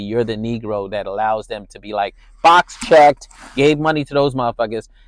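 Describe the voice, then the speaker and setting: A man at medium pitch and moderate pace, with ordinary pitch variation, a dry, close sound with no echo, and a very clean recording with a silent background. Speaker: criminal justice reform advocate. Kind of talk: angry profanity-laced rant. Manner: heated, bitter, sarcastic and cursing; blunt, combative, emphatic.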